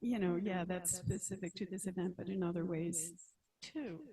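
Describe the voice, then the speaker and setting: Somewhat breathy, a woman speaks at a medium pitch. Her tone is dark and mellow. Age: 60s. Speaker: meeting attendee, planning committee clerk. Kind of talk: meeting contribution. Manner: halting.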